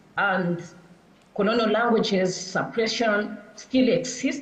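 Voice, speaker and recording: Amid audible room echo, a woman speaks very slowly, her fairly high pitch showing ordinary variation. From Tanzania. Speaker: professor. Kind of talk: lecture. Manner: halting.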